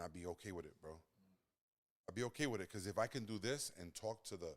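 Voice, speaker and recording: In a New York accent, the speaker goes at a very fast pace with ordinary pitch variation. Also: man, fairly low pitch for a man. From Brooklyn, New York. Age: 40s. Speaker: podcast co-host, custom business owner. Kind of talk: casual chat.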